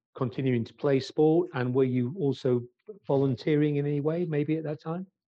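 This man has an ordinary speaking voice, pitched fairly high, with fairly even intonation. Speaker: sports business interviewer. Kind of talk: interview.

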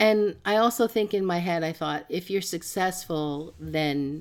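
On a very clean recording with a silent background, a woman speaks very slowly at a fairly low pitch with ordinary pitch variation. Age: 70s. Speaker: plus size fashion advocate. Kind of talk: casual chat. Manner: halting.

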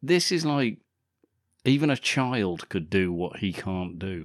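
With an English accent and lively intonation, a man speaks on a very clean recording with a silent background. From England. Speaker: podcast co-host. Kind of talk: casual chat.

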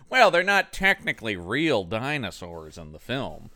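A man's put-on character voice at a medium pitch and moderate pace, with very wide pitch swings and a dry, close sound with no echo. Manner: defensive, arguing.

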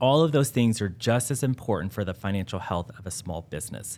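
A man talks at a moderate pace in a plain, everyday voice with ordinary pitch variation. The recording is very clean, with a silent background. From West Texas (Midland). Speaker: banking consultant. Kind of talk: interview.

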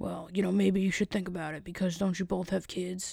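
Put-on character voice at a middle pitch, monotone and flat, fairly quick in pace, in a very clean recording with a silent background. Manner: pushy, lecturing.

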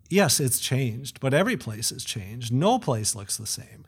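A man with a medium pitch and lively intonation. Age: 40s. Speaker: rural sociologist. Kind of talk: interview. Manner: halting.

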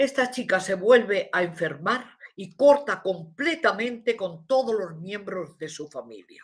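Somewhat breathy female voice at a fairly slow pace, big swings in loudness, hardly any pauses. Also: medium pitch for a woman, lively intonation. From Morocco. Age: 80s+. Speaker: spiritual teacher. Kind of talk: live stream conversation. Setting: live stream.

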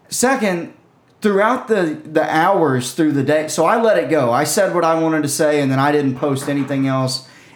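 With noticeable noise behind him, a man talks at a moderate speed in a fairly high voice whose pitch varies in an ordinary way. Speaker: podcast co-host and comedian. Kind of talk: casual chat.

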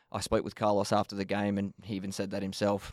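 A man with an Australian accent speaks at a fairly low pitch and fairly quick pace, in a dry, close sound with no echo and a very clean recording with a silent background. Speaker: football coach. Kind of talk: podcast interview. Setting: studio.

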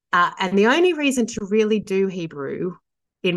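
A woman speaks with an Australian accent. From Sydney, Australia. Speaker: theologian and author. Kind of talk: casual interview conversation.

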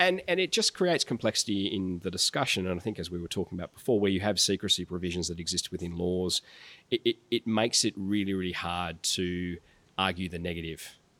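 A man's very deep, low voice with a bright, sharp tone and fairly even intonation at a very fast pace, dry and close with no echo on a very clean recording against a silent background. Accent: Australian. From rural New South Wales, Australia. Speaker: tech policy executive. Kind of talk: interview.

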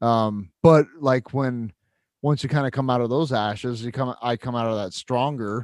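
A man speaks at a moderate pace and medium pitch, in an unremarkable speaking voice with fairly even intonation. The sound is dry and close with no echo, over a quiet background. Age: 40s. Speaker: podcast co-host. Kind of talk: casual chat. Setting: remote call.

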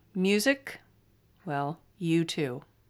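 A woman with a Californian accent speaks at a fairly low pitch in a very clean recording with a silent background. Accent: flat Californian. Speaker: podcast host. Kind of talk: casual monologue, book recommendations.

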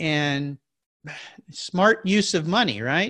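Very wide pitch swings from a man with an American accent. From Southern California (San Diego area). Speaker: podcast host, guest. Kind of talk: casual interview chat. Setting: video call from home.

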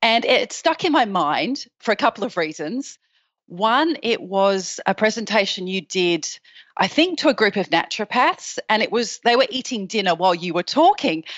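A woman with an Australian accent talks at a moderate pace, her fairly high pitch making very wide swings. The sound is dry and close with no echo, over a quiet background. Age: 40s. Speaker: patient sharing her story. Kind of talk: interview.

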